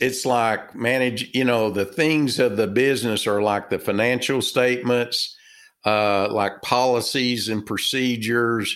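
With a Texas accent, the speaker is heard on a very clean recording against a silent background. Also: man. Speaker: author and business consultant. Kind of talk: casual interview chat. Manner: halting, filler words.

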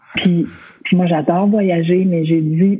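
Speaking at a very slow pace, a woman with a Quebec accent uses a fairly low pitch and fairly even intonation. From Quebec, Côte-Nord. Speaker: costume designer. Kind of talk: casual interview chat.

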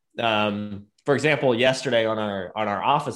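With an ordinary speaking voice, a man talks at a fairly low pitch and with fairly even intonation. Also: very clean recording, silent background. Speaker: podcast host, software company team member. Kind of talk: casual chat.

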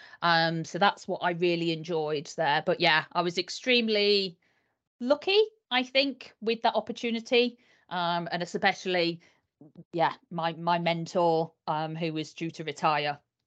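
A woman with a Yorkshire accent speaks with ordinary pitch variation. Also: fairly low pitch for a woman. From northern England, Yorkshire. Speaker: HR consultant. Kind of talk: casual interview chat.

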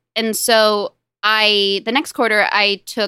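A woman's fairly high, bright and sharp voice with a Californian accent, dry and close with no echo, on a very clean recording with a silent background. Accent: General American (California). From US West Coast, Los Angeles. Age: 20s. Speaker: novelist and software product manager. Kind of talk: casual interview.

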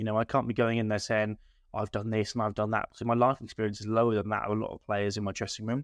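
Speaking very fast in a flat monotone, a man has an English accent and a fairly low pitch. The sound is dry and close with no echo, against a quiet background. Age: 20s. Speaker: football manager. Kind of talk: casual chat.

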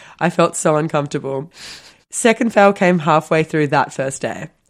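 In a very clean recording with a silent background, a woman with a very deep, low voice speaks at a moderate pace with ordinary pitch variation. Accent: Australian. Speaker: podcast co-host. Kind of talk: casual chat.

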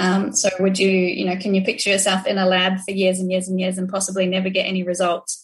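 A woman speaks very fast with hardly any pauses, her medium-pitched voice somewhat breathy. Her intonation stays flat and monotone. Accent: New Zealand. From New Zealand. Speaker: social enterprise manager. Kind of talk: interview.

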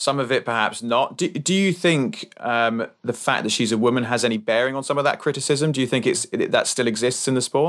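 An ordinary speaking voice moves at a fairly quick pace with hardly any pauses. Loudness stays very even, and pitch variation is ordinary. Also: man, medium pitch for a man. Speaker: podcast co-host. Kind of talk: casual podcast interview.

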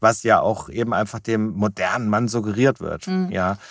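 The sound is dry and close, with no echo. A man speaks at a medium pitch and a moderate pace. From Germany, Wiesbaden. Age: 50s. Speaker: business consultant. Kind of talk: interview conversation. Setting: small recording box. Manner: hesitant with fillers.

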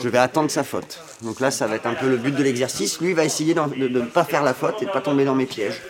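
Noticeable background noise sits under a man who talks at a very fast pace. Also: medium pitch for a man, ordinary pitch variation. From northern France (Amiens). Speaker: table tennis coach. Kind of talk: interview.

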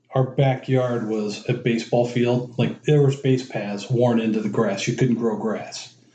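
This man speaks with a Midwestern American accent at medium pitch, his tone dark, mellow and somewhat breathy. His intonation stays monotone and flat. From Cleveland, Ohio. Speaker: father and former youth sports coach. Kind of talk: casual interview.

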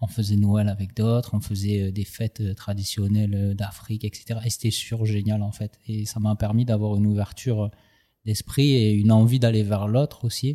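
In a very clean recording with a silent background, a man speaks at a moderate pace. His voice is fairly low, with a dark, mellow tone. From southern France, Aubagne. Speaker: rapper and tattoo artist. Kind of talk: casual interview. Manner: animated.

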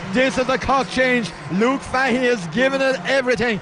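An extremely high-pitched male voice in an animated tone, over noticeable background noise. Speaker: radio sports commentator. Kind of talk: live GAA match commentary with a co-commentator, highlights package. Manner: fast, animated and excitable, rising to a pitch at scores and the tense finale; rapid play-by-play, naming players and describing each kick as it happens.

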